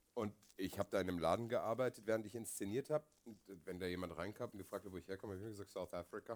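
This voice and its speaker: A man's fairly low voice races at a very fast pace, with ordinary pitch variation. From Asia, German family. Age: 40s. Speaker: podcast co-host and theatre director. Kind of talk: casual chat. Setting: stage with audience.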